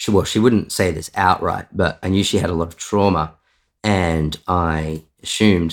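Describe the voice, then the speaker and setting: On a very clean recording with a silent background, a man with an Australian accent talks at a moderate pace in a very deep, low pitch with fairly even intonation. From Australia, Victoria and Sydney. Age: 30s. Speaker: software developer sharing detransition story. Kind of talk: interview testimony.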